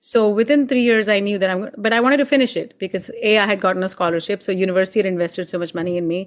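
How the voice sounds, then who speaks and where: A woman at medium pitch with an Indian accent, very fast pace, hardly any pauses, ordinary pitch variation, and a very clean recording against a silent background. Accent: Indian English, sing-songy. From India (Mumbai). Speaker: actor and playwright, former scientist. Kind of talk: interview conversation. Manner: expressive.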